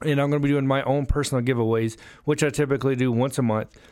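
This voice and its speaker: A man with an American accent, medium in pitch, with monotone, flat intonation at a very fast pace. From US South, Alabama. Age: 30s. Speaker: car salesman, podcast host, Air Force veteran. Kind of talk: casual business podcast.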